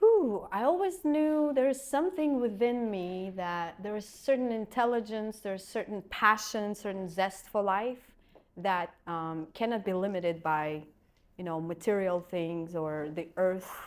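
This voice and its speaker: A woman's medium-pitched voice in a Russian accent, fairly slow with lively intonation, on a very clean recording with a silent background. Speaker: acupuncturist and energy healer. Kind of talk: podcast interview.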